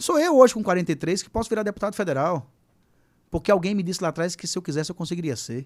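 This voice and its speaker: A man talks at a very fast pace in an animated tone, with a high pitch and lively intonation. The recording is very clean, its background silent. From Brazil, Sergipe. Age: 40s. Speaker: teacher and political candidate. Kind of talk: podcast interview. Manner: animated storytelling.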